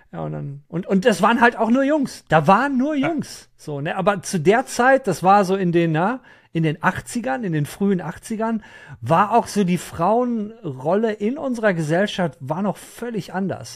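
On a very clean recording with a silent background, a man with a high pitch speaks at a fairly slow pace in an animated tone with lively intonation. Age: 50s. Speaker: gaming podcast host. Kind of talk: casual chat.

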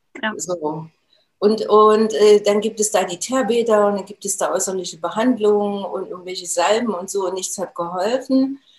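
A woman speaks at a medium pitch and a moderate pace, her loudness swinging widely. Her pitch varies in an ordinary way, with music playing behind her. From Thuringia, Germany (Jena). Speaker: nutrition expert and trainer. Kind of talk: interview.

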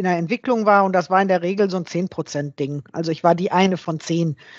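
A woman with fairly even intonation. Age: 50s. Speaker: software developer and coworking space owner. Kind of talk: interview. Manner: halting.

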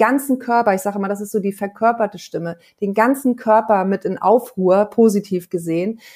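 A woman has an ordinary speaking voice with a fairly high pitch. She talks at a moderate pace. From Hamburg, northern Germany. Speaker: singer and voice coach. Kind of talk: interview.

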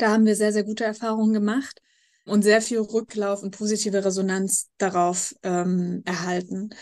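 At a moderate pace, a woman with a medium pitch speaks in a monotone, flat intonation. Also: quiet background. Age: 20s. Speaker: nonprofit founder living with MS. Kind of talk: interview.

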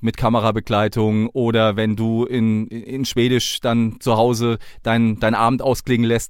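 A man with a slight southern Hessian accent, medium in pitch, at a fairly slow pace, on a very clean recording with a silent background. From southern Hesse. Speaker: podcast host, police officer. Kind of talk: interview.

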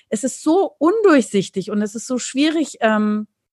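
Her voice comes across somewhat breathy. Behind the woman, things stay quiet. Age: 40s. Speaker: dermatologist and author. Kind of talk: interview.

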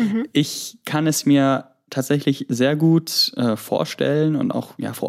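A man is speaking. His pitch is fairly high. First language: Greek (speaking German). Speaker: university student. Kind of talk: interview. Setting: app call from holiday home in Greece.

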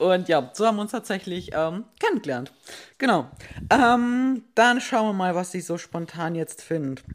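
A woman speaks at a fairly slow pace in a medium pitch, her voice swinging very widely up and down. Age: 20s. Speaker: fitness podcast host. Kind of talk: casual chat. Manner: hectic.

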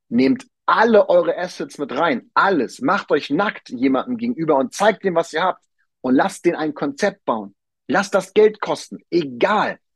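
This man's voice is high-pitched and animated, with very wide pitch swings. He speaks fairly slowly, and the sound is dry and close with no echo. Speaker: podcast host, real estate and finance advisor. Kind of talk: solo podcast monologue. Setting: on vacation on an island.

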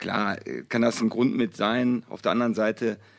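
A man speaks here. His intonation is monotone and flat. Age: 40s. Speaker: football youth coach. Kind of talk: casual chat.

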